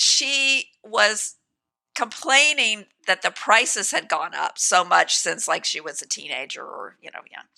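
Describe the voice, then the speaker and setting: A woman with an American accent speaks at a fairly slow pace. Her loudness swings widely. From US South, South Carolina. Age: 60s. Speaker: author and columnist. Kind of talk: podcast interview.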